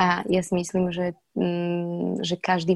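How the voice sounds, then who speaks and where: A woman speaks at a fairly low pitch, somewhat breathy. The sound is dry and close, with no echo. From Slovakia. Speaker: actress. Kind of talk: interview. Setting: remote recording.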